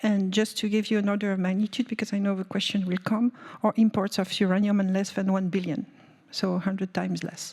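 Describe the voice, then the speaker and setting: Monotone, flat speech from a woman over noticeable background noise. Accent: French. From France. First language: French. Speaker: energy policy panelist. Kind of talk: panel discussion. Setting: conference room with audience. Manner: hesitant, many fillers.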